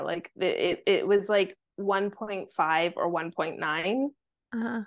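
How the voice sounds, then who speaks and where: A woman speaks with a Canadian accent at a medium pitch, her pitch rising and falling in an ordinary way. She has an unremarkable speaking voice. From Vancouver, Canada. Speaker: content repurposing agency owner, marketing mentor. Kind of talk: casual interview chat.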